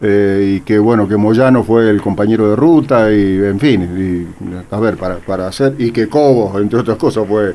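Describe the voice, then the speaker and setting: A man talks at a fairly slow pace with hardly any pauses. His fairly low voice has a dark, mellow tone. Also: ordinary pitch variation. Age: 60s. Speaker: radio host. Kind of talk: radio interview.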